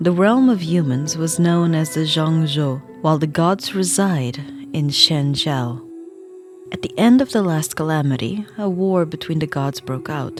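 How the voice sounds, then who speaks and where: Over music in the background, a soft-spoken woman talks fairly slowly. Her pitch is very deep and low, and her intonation is lively. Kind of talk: soft ASMR book reading.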